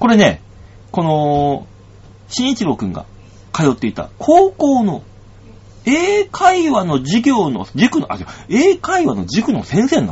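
A man's animated, fairly slow delivery broken by long, frequent pauses. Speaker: comedian and radio host. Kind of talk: casual solo radio talk. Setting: studio. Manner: animated, frequent laughter.

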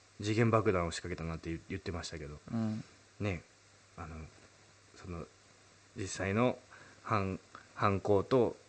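A man's fairly low voice at a fairly slow pace, with ordinary pitch variation, big swings in loudness and long, frequent pauses. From Urayasu area, Chiba, Japan. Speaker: singer-songwriter and radio host. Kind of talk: casual chat.

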